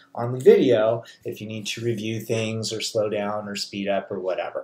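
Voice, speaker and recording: Over audible room echo, a man speaks at a moderate pace. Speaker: college chemistry instructor. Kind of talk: lecture. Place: home room.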